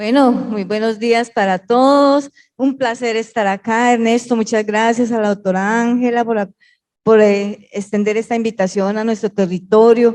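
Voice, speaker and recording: A woman's fairly high voice with a paisa accent, fairly even intonation and a fairly slow pace. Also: quiet background. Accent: paisa Colombian Spanish. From Colombia, Pereira coffee region. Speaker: education official. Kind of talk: panel discussion.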